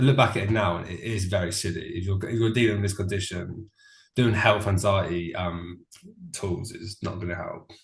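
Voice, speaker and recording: A man with a southern English accent, fairly low pitch, somewhat breathy, fairly even intonation, big swings in loudness. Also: moderate pace. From Brighton, England. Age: 20s. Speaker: recovered DPDR client. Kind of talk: interview answer. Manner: casual, informal.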